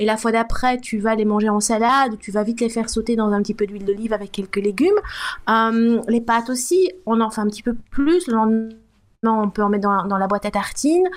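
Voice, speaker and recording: A woman talks fairly quickly at a fairly high pitch. She has an ordinary speaking voice with ordinary pitch variation. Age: 50s. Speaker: food blogger. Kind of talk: casual interview.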